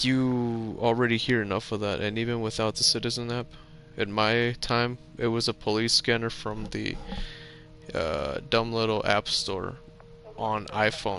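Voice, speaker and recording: Over music in the background, a man talks at a fairly slow pace with fairly even intonation. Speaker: gaming streamer. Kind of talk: casual chat. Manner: rambling, halting with restarts.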